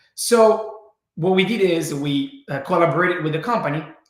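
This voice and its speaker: With an Italian accent, a high-pitched man speaks at a fairly slow pace with ordinary pitch variation amid audible room echo. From Italy. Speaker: brain training entrepreneur. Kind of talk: webinar presentation.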